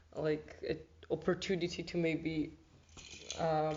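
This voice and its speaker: Over noticeable background noise, a woman with a fairly low pitch talks at a fairly slow pace. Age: 20s. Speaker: volunteer, arts student. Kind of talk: interview.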